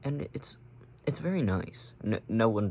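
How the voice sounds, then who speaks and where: A man speaks in a somewhat breathy voice. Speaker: vlogger. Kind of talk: casual chat. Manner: halting.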